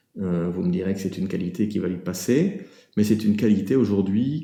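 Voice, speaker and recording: In a room with audible echo, a man speaks with a dark, mellow tone, fairly low pitch, and ordinary pitch variation. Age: 60s. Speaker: business owner giving a client testimonial. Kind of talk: testimonial. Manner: halting, many filler hesitations.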